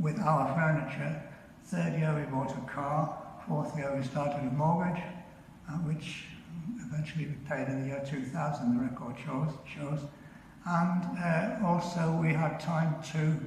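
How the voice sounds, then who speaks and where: A man's fairly even intonation at a fairly slow pace, with audible room echo and light background noise. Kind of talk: funeral tribute speech. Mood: calm, tender, reflective. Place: church. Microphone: video call.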